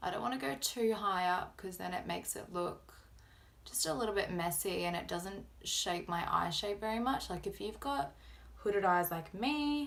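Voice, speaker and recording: A woman speaks with an Australian accent at a moderate pace. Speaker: beauty vlogger. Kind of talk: makeup tutorial.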